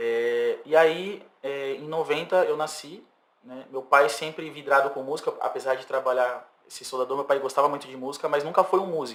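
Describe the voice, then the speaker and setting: A man speaks at a moderate pace in an ordinary speaking voice, his pitch fairly high. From São Vicente, São Paulo coast, Brazil. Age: 30s. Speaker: singer-songwriter. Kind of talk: casual interview.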